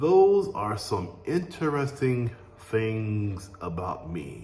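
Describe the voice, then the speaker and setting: A man talks at a very slow pace and medium pitch, his voice swinging very widely in pitch. Noticeable background noise runs underneath. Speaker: English teacher, Air Force veteran. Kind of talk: language lesson to camera. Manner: slow, clear.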